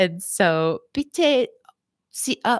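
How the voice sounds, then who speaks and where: With an American accent, a woman speaks at a high pitch and makes very wide pitch swings. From US West Coast, San Francisco area. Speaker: physical therapist and psychotherapist. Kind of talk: live stream talk with chat. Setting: livestream. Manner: animated.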